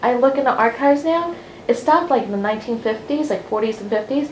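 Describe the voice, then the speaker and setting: A woman talks with an American accent, and audible room echo is in the recording. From US Northeast, New Jersey (Hasbrouck Heights). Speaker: library oral history organizer. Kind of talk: briefing to interviewees. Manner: animated.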